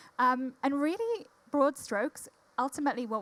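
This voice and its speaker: A woman speaks with a Welsh accent. Her pace is fairly quick. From Wales. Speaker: corporate diversity executive. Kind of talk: panel discussion.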